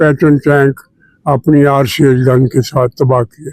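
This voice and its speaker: The man's voice sits fairly high in pitch and has a dark, mellow tone. The sound is dry and close, with no echo. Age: 90s. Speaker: retired army general. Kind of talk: interview.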